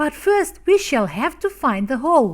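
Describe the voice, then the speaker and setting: A woman puts on a character voice, high in pitch with very wide pitch swings. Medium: read story. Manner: surly, quarrelsome.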